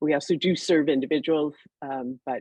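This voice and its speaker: A woman speaks with fairly even intonation. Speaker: accounting software executive. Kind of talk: panel discussion.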